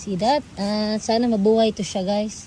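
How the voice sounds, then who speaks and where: Somewhat breathy and dark, mellow in tone, a woman speaks at a fairly high pitch. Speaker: vlogger. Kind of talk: casual vlog.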